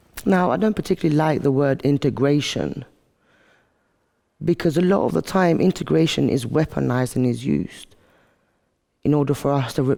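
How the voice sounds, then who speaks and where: A man with an English accent, fairly high pitch and dark, mellow tone, lively intonation, very even loudness, moderate pace and long, frequent pauses. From Albania, outskirts of Tirana. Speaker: activist speaker. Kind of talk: monologue talk to camera.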